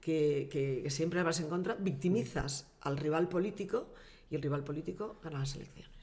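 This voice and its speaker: A woman's very deep, low voice, dark and mellow and somewhat breathy, at a moderate pace with ordinary pitch variation and audible room echo. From Valencian Community, Castellón province (Vinaròs). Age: 60s. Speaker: former mayor and politician. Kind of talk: casual interview.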